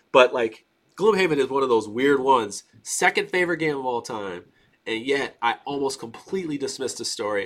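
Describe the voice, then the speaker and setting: A man's plain, everyday voice, fairly high in pitch, at a fairly quick pace with lively intonation. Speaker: board game YouTuber. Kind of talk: casual chat. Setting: video call.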